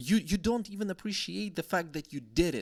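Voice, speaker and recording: A man with a Slavic accent talks at a moderate pace, his voice dry and close with no echo on a very clean recording with a silent background. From Slavic country. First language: Slavic language. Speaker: YouTuber. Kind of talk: vlog monologue. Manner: halting.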